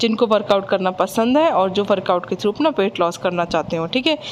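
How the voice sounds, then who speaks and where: A woman's voice makes very wide pitch swings. Noticeable background noise sits behind her. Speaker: fitness vlogger. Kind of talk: workout tutorial. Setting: at home.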